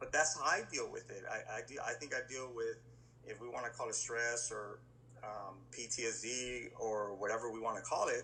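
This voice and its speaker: Noticeable background noise surrounds a man who talks at a moderate speed. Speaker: police SWAT officer. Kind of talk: casual interview chat. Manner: loud, energetic.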